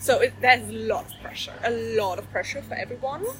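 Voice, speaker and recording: A woman with a German accent is heard against noticeable background noise. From Germany. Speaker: coach, former lawyer. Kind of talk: interview. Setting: Bali. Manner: hesitant, many fillers.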